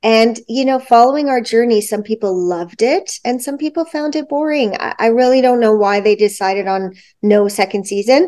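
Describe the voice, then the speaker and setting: A woman speaks with a Canadian accent and ordinary pitch variation. It is a plain, everyday voice. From Toronto, Canada. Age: 40s. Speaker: competitive dancer. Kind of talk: casual chat.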